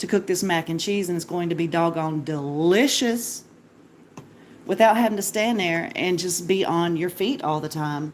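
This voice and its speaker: A woman speaks at a moderate pace. Her voice is fairly low, with ordinary pitch variation. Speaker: home cooking livestreamer. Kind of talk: cooking livestream. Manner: loud; casual, chatty.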